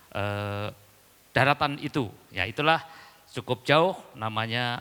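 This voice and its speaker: A man with a Javanese accent speaks at a medium pitch, his bright, sharp tone rising and falling in an ordinary way. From East Java, Indonesia (Dayak from Central Kalimantan). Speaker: pastor. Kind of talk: sermon. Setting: church.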